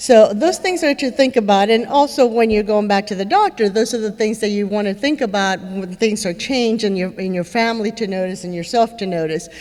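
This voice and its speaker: A woman speaks in a Spanish accent at a fairly quick pace. Her pitch is fairly high, with ordinary variation. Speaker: neurologist speaker with Parkinson's. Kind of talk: conference talk. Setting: stage with audience. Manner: conversational, many fillers.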